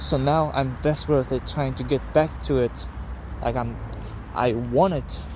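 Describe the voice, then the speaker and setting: Over noticeable background noise, a man with a non-native accent speaks at a moderate pace. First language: not English. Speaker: vlogger. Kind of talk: casual personal vlog monologue. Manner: halting.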